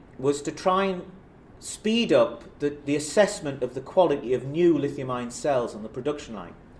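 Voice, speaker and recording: With a Geordie accent, a man speaks at a medium pitch and moderate pace, his pitch swinging very widely, and audible room echo surrounds him. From northern England, South Shields (Tyneside). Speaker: professor. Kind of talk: lecture. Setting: stage with audience. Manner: casual, self-deprecating.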